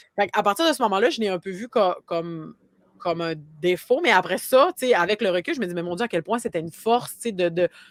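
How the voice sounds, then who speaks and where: A woman's very fast, lively-intoned speech in a dry, close sound with no echo. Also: medium pitch for a woman. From Quebec, Côte-Nord (Havre-Saint-Pierre). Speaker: marketing agency founder. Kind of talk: podcast interview. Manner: many fillers and repetitions.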